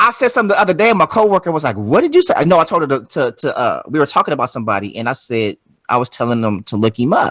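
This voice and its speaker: Talking at a very fast pace with a Los Angeles accent, the voice makes very wide pitch swings. The sound is dry and close, with no echo. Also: man, fairly high pitch for a man. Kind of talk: casual, conversational.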